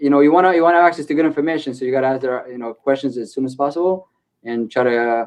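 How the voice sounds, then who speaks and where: A man with an Israeli accent talks at a very fast pace. His medium-pitched voice keeps a fairly even intonation. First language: Hebrew. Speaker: e-commerce company co-founder. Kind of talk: podcast interview. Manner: hesitant, many fillers and repeats.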